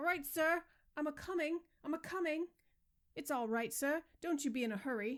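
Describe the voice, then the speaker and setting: In a put-on character voice, a woman sounds shrill and high-pitched, moving at a moderate pace with long, frequent pauses. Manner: hurried, fussy.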